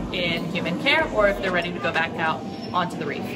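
A woman speaks with ordinary pitch variation over music in the background. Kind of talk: interview answer. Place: hall. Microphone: phone near.

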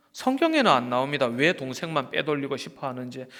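A man speaks in an ordinary speaking voice with fairly high pitch. His pace is fairly quick. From rural South Korea. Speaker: pastor. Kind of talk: sermon.

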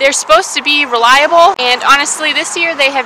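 With noticeable background noise behind her, a woman uses a raised, projected voice in a dry sound with no echo. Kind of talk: casual vlog chat. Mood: disappointed, resigned.

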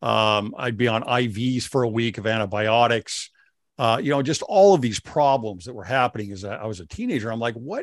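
A man at a moderate pace with ordinary pitch variation, dry and echo-free against a quiet background. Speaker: faith-based show host. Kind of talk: interview. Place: studio. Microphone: studio mic.

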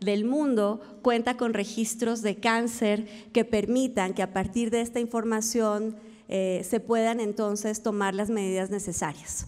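A woman speaks in a plain, everyday voice, pitched fairly high. Her pace is fairly slow and her intonation fairly even. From Colombia. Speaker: health organization founder and CEO; conference speaker. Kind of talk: conference talk. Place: hall. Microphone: podium.

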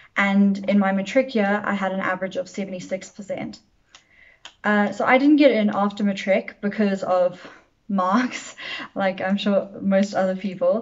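A somewhat breathy woman at a fairly slow pace, her intonation fairly even. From South Africa, Johannesburg. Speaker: medical student. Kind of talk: testimony. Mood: calm, encouraging. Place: home room.

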